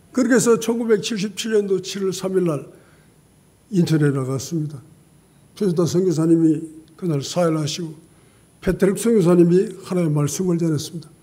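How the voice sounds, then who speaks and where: With audible room echo, a man talks at a fairly quick pace in a high voice with a dark, mellow tone, ordinary pitch variation, and long, frequent pauses. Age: 80s+. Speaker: pastor. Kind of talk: sermon.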